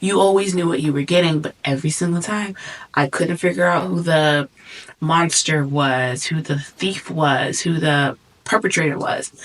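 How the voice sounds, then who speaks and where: With a very deep, low pitch for a woman, she talks at a moderate pace with ordinary pitch variation over noticeable background noise. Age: 20s. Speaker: vlogger. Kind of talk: casual monologue. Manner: animated.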